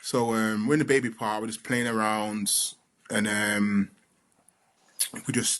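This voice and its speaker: With a London accent, a man speaks fairly slowly in a fairly low, monotone voice with flat intonation and long, frequent pauses. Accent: London Multicultural English. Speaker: father, podcast co-host. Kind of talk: casual chat. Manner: loud.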